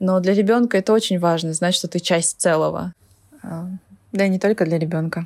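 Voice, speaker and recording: A woman's a plain, everyday voice at medium pitch and a moderate pace, with fairly even intonation and very even loudness, on a very clean recording with a silent background. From Kalmykia. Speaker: former Kalmykia resident living in Moscow. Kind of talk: personal reflection, recorded testimony.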